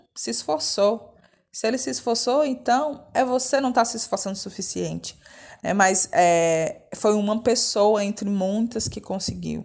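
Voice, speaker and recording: A woman's fairly high voice, fairly slow in pace, with lively intonation. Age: 30s. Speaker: theatre director and teacher. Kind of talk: interview testimony. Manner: talkative.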